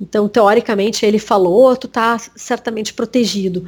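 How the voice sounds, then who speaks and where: Speaking at a fairly slow pace, a woman talks in a southern Brazilian accent. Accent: gaúcho Brazilian Portuguese. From Rio Grande do Sul, Brazil (Bagé, Uruguay border). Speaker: journalist. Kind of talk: interview. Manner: halting, many repetitions.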